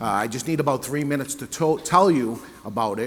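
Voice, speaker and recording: A man with a New England accent, fairly high-pitched, at a moderate pace with lively intonation, over noticeable background noise. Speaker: cigar retailer and panel moderator. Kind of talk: sales pitch. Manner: conversational.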